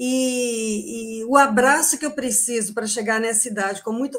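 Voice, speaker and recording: A woman speaks in an ordinary speaking voice at a fairly high pitch. Her intonation is fairly even. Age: 60s. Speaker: retired Portuguese teacher. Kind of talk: online panel talk.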